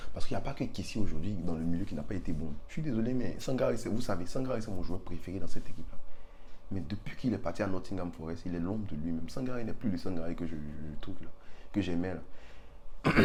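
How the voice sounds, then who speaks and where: With an animated tone and lively intonation, a man talks at a very fast pace. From Ivory Coast. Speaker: football commentator, channel owner. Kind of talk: casual vlog commentary. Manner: animated, repetitive, with hesitations.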